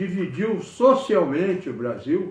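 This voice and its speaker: At a very slow pace, a man speaks in a high voice amid audible room echo. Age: 80s+. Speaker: engineer giving political commentary. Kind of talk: political monologue to camera. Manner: halting, with repetitions.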